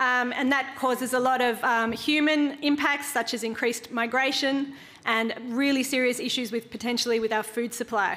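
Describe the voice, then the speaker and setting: A woman with an Australian accent speaks at a moderate pace in a high pitch, her bright, sharp tone held to fairly even intonation and very even loudness with hardly any pauses. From Australia (Queensland). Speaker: social enterprise founder; conference speaker. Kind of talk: conference workshop talk. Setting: conference room with audience.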